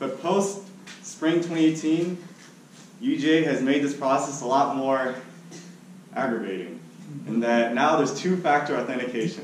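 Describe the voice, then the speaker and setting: Speech comes at a fairly slow pace with long, frequent pauses and lively intonation. Room echo is audible, along with light background noise. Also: man, fairly high pitch for a man. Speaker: student giving a speech. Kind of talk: storytelling speech. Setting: meeting room with audience. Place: classroom. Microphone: camera far.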